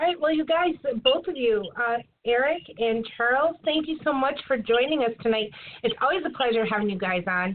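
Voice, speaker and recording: At a moderate pace, a woman speaks in a high pitch with lively intonation. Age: 40s. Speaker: podcast co-host. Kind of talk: casual chat.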